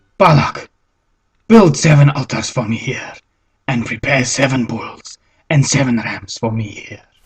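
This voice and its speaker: A cartoonish character voice sits at a low-to-middle pitch. It moves at a moderate pace with long, frequent pauses. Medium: puppet.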